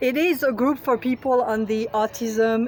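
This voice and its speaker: A woman talks at a fairly slow pace with a French accent. Her intonation is lively. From France. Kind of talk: rally speech. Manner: halting, many fillers.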